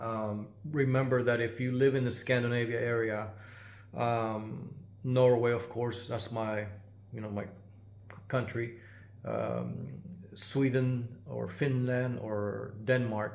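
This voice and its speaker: The speech is very slow and flat, with long, frequent pauses. Audible room echo surrounds it. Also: man, medium pitch for a man. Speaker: GPU repair technician and YouTuber. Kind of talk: casual channel update. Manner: halting, many filler words.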